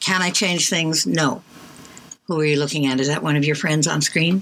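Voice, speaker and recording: A woman's fairly low-pitched voice at a moderate pace, with noticeable background noise. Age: 80s+. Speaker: college radio co-host. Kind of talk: casual chat. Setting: studio.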